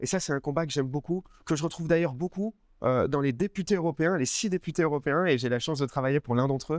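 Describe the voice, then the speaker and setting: A man's voice, dry and echo-free, with ordinary pitch variation over a quiet background. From France, Grenoble. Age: 20s. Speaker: political activist, parliamentary assistant. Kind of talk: personal testimony interview. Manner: hesitant, with fillers and repetitions. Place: garden. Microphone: lapel.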